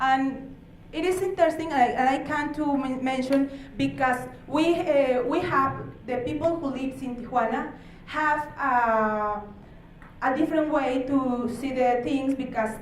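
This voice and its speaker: Audible room echo surrounds a woman with a high pitch. She speaks at a fairly slow pace with ordinary pitch variation. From Mexico, Baja California. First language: Spanish. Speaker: human rights official. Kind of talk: conference presentation. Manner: halting.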